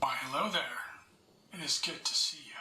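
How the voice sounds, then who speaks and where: Delivered at a fairly quick clip, the put-on character voice has a raspy edge. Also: man. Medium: video game.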